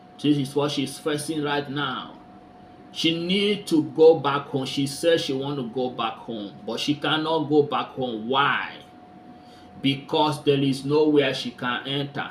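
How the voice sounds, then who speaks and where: Noticeable background noise sits behind a man's voice. He talks fairly slowly at a fairly high pitch. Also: ordinary pitch variation. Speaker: commentary vlogger. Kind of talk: casual talk to camera.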